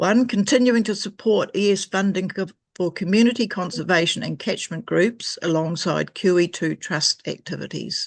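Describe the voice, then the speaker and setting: The speaker has a New Zealand accent and keeps a moderate pace. There are hardly any pauses. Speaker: environmental group member making a submission. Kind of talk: reading a prepared submission at a council hearing. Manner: formal.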